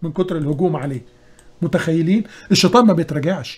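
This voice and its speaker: This man has a high-pitched voice and an Egyptian accent. His pitch varies in an ordinary way. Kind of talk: religious lecture on current events.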